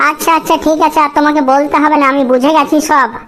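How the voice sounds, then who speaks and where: Using a cartoonish character voice, a woman speaks fairly quickly at a high pitch in a monotone, flat delivery with very even loudness. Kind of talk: rustic comic cartoon acting.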